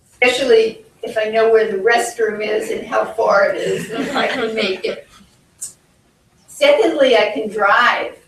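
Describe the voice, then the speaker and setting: Fairly slow speech from a woman with a fairly high pitch and fairly even intonation, in a room with audible echo. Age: 70s. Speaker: psychologist and life coach, patient speaker. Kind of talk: conference talk. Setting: conference with audience. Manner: halting.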